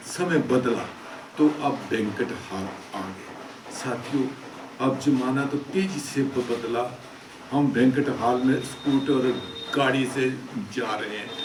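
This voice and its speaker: Amid noticeable background noise and audible room echo, a man speaks at a medium pitch with ordinary pitch variation and long, frequent pauses. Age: 70s. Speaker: social commentator / vlogger. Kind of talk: monologue commentary. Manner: halting, frequent stammering restarts.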